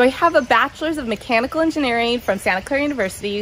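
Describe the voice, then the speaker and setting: A woman's fairly high voice with a Californian accent, ordinary pitch variation, and noticeable background noise. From Southern California. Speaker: realtor. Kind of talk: self-introduction monologue.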